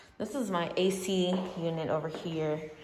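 A woman with a fairly low pitch keeps her intonation fairly even, with audible room echo. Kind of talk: casual vlog chat. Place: home room. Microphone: phone near.

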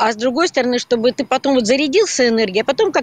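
Light background noise and a dry sound with no echo surround a woman whose fairly high voice takes very wide pitch swings. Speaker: volunteer. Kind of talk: interview. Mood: warm, encouraging. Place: street. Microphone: phone near.

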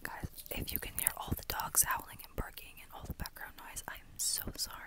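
Whispering at a fairly quick pace, the voice comes through over noticeable background noise. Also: woman. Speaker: ASMR creator. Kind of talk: ASMR whisper talk to camera. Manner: whispered.

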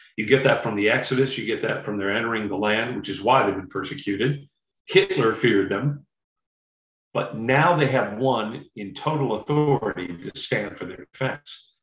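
Against a quiet background with audible room echo, a man speaks at a moderate pace with lively intonation and big swings in loudness. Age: 50s. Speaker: Bible class speaker; speaker. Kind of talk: Bible study lecture. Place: home room. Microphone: webcam.

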